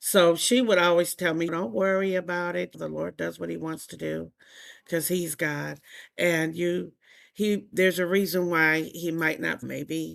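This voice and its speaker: A woman with an American accent at a fairly slow pace, in a very clean recording with a silent background. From US South, South Carolina. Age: 60s. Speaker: podcast guest, church member sharing infertility experience. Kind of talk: interview testimony. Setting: podcast interview. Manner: animated storytelling.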